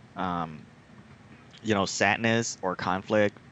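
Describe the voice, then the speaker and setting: In a Vietnamese accent, a man speaks at a fairly low pitch. His pace is very slow. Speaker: podcast host. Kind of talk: casual chat. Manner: hesitant, many fillers.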